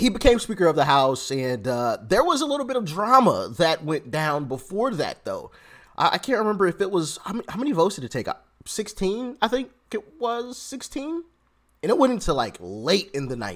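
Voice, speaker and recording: A man's speech moves fairly quickly, his pitch swinging very widely, with a quiet background behind him. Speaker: political commentary vlogger. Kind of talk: commentary. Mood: animated, sarcastic. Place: home room.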